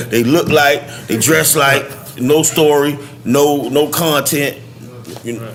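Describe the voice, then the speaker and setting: A man's very slow speech with a Southern US accent and fairly even intonation, broken by long, frequent pauses, over noticeable background noise. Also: fairly high pitch for a man. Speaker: rapper. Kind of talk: podcast interview answer. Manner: passionate.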